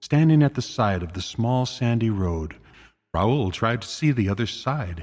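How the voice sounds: Lively intonation in a natural reading voice, with a quiet background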